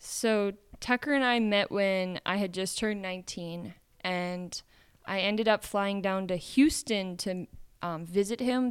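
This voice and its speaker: A woman's ordinary speaking voice with a Canadian accent, medium in pitch with ordinary pitch variation, at a fairly slow pace, on a very clean recording with a silent background. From Canada. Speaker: musician. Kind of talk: casual chat. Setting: coffee shop.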